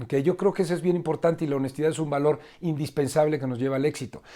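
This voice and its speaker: A man talks with ordinary pitch variation on a very clean recording with a silent background. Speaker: leadership trainer. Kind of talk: lecture. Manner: fast.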